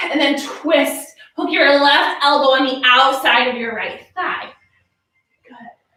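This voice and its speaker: A woman's raised, projected voice, high in pitch, with audible room echo. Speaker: yoga instructor. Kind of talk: guided yoga class. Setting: live online class. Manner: short rhythmic cues.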